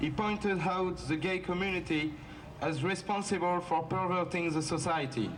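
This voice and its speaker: Someone with a French accent speaks at a moderate pace. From France. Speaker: activist, founder of anti-racism group. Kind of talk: rally speech. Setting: outdoor rally.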